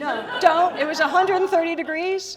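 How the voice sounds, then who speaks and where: A woman with a Philadelphia accent, animated in tone and moderate in pace, on a very clean recording with a silent background. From US, Philadelphia. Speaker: keynote speaker and comedian. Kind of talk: keynote speech.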